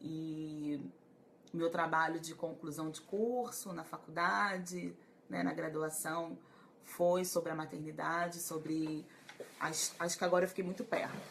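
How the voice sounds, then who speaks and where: A woman talks at a fairly slow pace with ordinary pitch variation as noticeable background noise runs underneath. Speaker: psychologist. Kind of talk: live stream talk to viewers. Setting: Facebook live stream.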